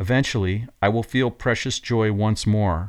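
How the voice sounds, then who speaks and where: A man talks at a moderate pace in a plain, everyday voice, fairly low in pitch with ordinary variation. The recording is very clean, with a silent background. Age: 50s. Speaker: podcast host and coach. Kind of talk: scripted reflective monologue.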